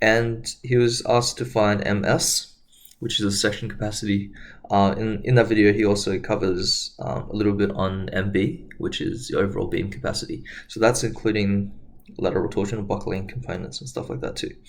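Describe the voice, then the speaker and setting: Audible room echo surrounds a man who speaks fairly quickly at a fairly low pitch with ordinary pitch variation. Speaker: engineering tutor. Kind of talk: lecture. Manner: hesitant, many fillers.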